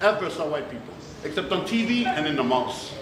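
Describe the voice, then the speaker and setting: A man speaks loudly at a fairly quick pace in an animated tone. Noticeable background noise and audible room echo surround him. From Newark, New Jersey, Puerto Rican family. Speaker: motivational speaker. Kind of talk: keynote speech. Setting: stage with audience.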